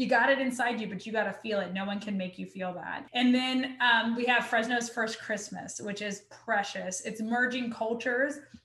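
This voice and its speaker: A woman with an American accent speaks in a fairly high pitch, with noticeable background noise and audible room echo. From US South. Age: 30s. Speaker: criminology professor. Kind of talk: casual chat.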